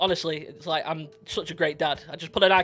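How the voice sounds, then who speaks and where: With a northern English accent, a man talks very fast at a fairly high pitch and with fairly even intonation. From northwest England. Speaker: podcast co-host and streamer. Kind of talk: casual chat.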